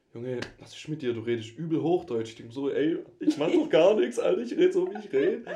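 Very fast speech with big swings in loudness. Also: man. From Swabia, Germany. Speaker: student, podcast guest. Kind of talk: casual chat. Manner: animated.

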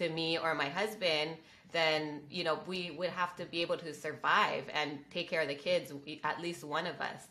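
Monotone, flat intonation with noticeable background noise. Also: woman, fairly low pitch for a woman, moderate pace. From Hawaii. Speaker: real estate investor. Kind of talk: interview.

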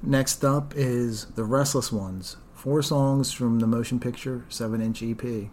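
Using an ordinary speaking voice, a man talks at a fairly slow pace in a medium pitch with fairly even intonation. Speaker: podcast host. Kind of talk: casual chat.

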